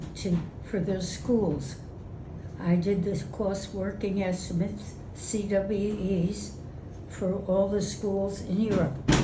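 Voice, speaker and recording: A woman speaks very slowly at a medium pitch, her intonation flat and monotone, with noticeable background noise behind her. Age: 80s+. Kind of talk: interview answer. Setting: outdoors. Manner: spunky.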